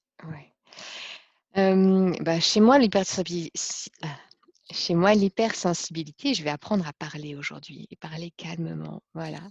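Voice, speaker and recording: A woman speaks at a fairly slow pace with long, frequent pauses, ordinary pitch variation and big swings in loudness. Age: 40s. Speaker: life coach. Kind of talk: personal testimony interview. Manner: hesitant, many fillers.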